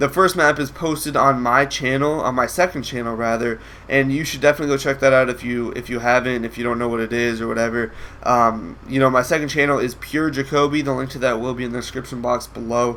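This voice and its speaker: A man at a very fast pace, medium pitch and fairly even intonation, with noticeable background noise. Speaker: gaming commentator. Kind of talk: gameplay commentary. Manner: casual, hesitant with fillers.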